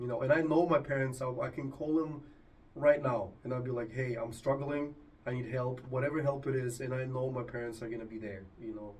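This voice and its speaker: Audible room echo surrounds a man who talks at a fairly quick pace with a medium pitch and fairly even intonation, sounding somewhat breathy. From Argentina. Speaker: podcast host. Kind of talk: casual chat.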